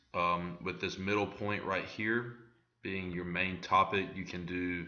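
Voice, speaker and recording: The delivery is a flat monotone at a moderate pace. Audible echo fills the room. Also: man. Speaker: student presenter. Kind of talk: tutorial. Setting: screen recording. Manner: hesitant, many fillers.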